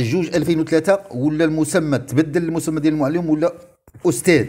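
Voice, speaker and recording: This man speaks with a Moroccan accent. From Morocco. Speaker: retired teachers' advocate vlogger. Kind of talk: video monologue. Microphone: earbuds.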